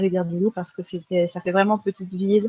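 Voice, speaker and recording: A woman of medium pitch speaks at a fairly quick pace. Her intonation is monotone and flat. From France. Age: 20s. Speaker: freelance graphic designer. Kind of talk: podcast interview. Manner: hesitant, many fillers.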